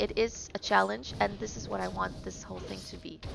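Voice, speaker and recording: A woman with a non-native accent, music in the background. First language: not English. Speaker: gaming streamer. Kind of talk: casual live-stream commentary while gaming. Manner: conversational with fillers and self-corrections; tries to speak clearly.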